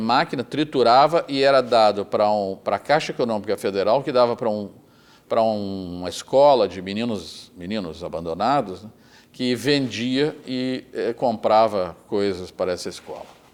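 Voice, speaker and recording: In a southern Brazilian accent, a man speaks at a medium pitch with ordinary pitch variation. His pace is moderate. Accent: southern Brazilian (gaúcho) Portuguese. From Rio Grande do Sul, Brazil. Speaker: retired federal appellate judge. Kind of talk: oral history interview answer.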